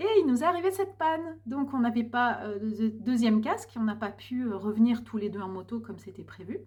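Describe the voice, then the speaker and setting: A woman with a fairly high voice speaks at a fairly quick pace with hardly any pauses, her loudness swinging a lot and her pitch rising and falling very widely. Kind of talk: personal vlog monologue. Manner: hesitant, many fillers.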